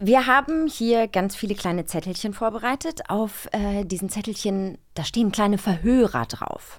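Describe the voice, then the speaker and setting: The delivery moves at a moderate pace with hardly any pauses. Its intonation is lively. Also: woman, medium pitch for a woman. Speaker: podcast co-host. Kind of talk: casual chat. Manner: animated.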